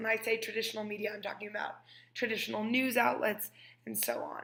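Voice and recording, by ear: With vocal fry and fairly even intonation, a woman speaks at a fairly high pitch in a fairly bright tone.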